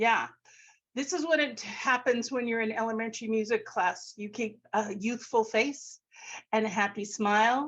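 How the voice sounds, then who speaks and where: A woman's normal speaking voice, fairly high in pitch, with ordinary pitch variation. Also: moderate pace, quiet background. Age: 60s. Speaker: elementary music teacher and author. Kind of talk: webinar presentation. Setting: video call.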